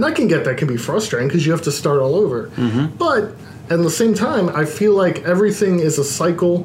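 A man with an American accent and a high pitch talks at a very fast pace with lively intonation, amid noticeable background noise and audible room echo. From Baltimore, US. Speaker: independent wrestler. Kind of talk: casual chat. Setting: studio.

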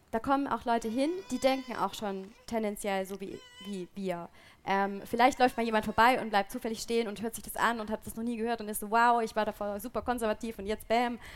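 A woman with an unremarkable speaking voice, fairly high pitch, fairly even intonation, big swings in loudness, and a fairly quick pace. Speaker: podcast host. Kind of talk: live panel discussion. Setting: stage with audience outdoors.

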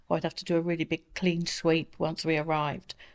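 On a very clean recording with a silent background, a woman talks at a fairly low pitch. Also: dry, close sound with no echo. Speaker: asthma patient. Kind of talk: interview. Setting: studio.

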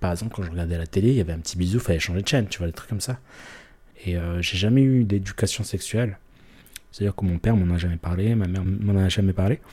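Speaking at a very fast pace, a man has a very deep, low pitch and a dark, mellow tone that is somewhat breathy. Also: ordinary pitch variation. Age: 30s. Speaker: interviewee sharing personal story. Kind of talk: confessional interview. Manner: hesitant, many fillers and repetitions.

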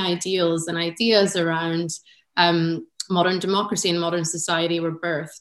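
A woman speaks with an American accent in a plain, everyday voice. Her pitch is fairly low and her pace is moderate. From United States. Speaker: arts sector executive. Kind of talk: panel discussion. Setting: video call.

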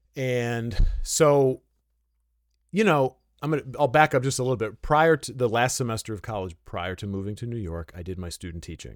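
In a plain, everyday voice with an American accent, the speaker moves at a moderate pace with lively intonation and big swings in loudness, the sound dry and close with no echo on a very clean recording with a silent background. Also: man, medium pitch for a man. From Detroit area. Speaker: saxophonist and music teacher. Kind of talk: interview.

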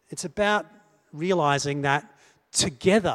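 A man speaks with an Australian accent. His pitch varies in an ordinary way. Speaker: preacher. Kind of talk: sermon.

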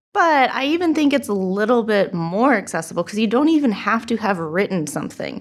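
A woman with a Californian accent speaks at a fairly quick pace in a fairly high pitch, her voice swinging very widely up and down. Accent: Californian American English. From Southern California, Huntington Beach. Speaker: arts journalist and co-host. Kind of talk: casual chat.

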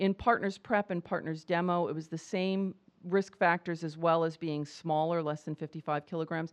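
A woman with an ordinary speaking voice talks at a moderate pace, fairly low in pitch and with fairly even intonation. The sound is dry and close with no echo, over a quiet background. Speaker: professor and HIV prevention researcher. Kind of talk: medical lecture. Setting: conference talk with audience.

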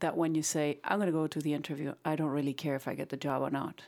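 A woman speaks with a Spanish accent. The recording is very clean, with a silent background. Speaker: real estate agent. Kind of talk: casual panel discussion. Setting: on location, background noise.

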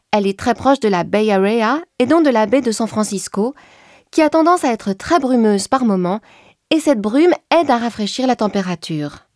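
A plain, everyday voice at a moderate pace with lively intonation, on a very clean recording with a silent background. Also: woman, fairly high pitch for a woman, dry, close sound with no echo. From France, Champagne. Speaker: winemaker. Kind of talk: informative explainer.

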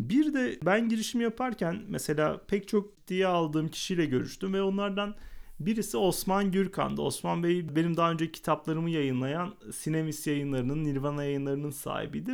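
Over a very clean recording with a silent background, a man with a high-pitched voice speaks at a moderate pace with lively intonation and hardly any pauses. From Adana, southern Turkey. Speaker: podcast host and entrepreneur. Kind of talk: solo podcast monologue.

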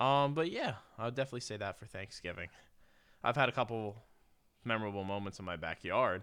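With an American accent, a man talks at a very fast pace with long, frequent pauses, at medium pitch with ordinary pitch variation, over a quiet background. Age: 20s. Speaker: sports podcast co-host. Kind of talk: casual chat.

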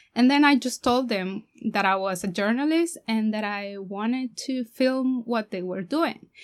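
A woman's high-pitched voice with a Spanish accent and lively intonation at a moderate pace, on a very clean recording with a silent background. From Mexico. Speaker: documentary filmmaker. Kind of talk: interview.

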